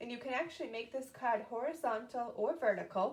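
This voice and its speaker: Fairly high in pitch, a woman speaks with an American accent. Her pace is fairly quick, her pitch variation ordinary. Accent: Boston, slight, shows occasionally. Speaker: papercraft demonstrator, live-stream host. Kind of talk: live-stream crafting tutorial. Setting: live video stream. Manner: casual, chatty with fillers.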